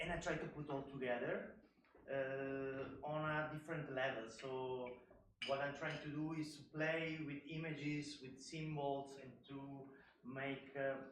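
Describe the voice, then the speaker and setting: Over audible room echo, a man with an Italian accent speaks at a fairly slow pace in a fairly high pitch with monotone, flat intonation. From Italy. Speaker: artist. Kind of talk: panel talk. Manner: halting.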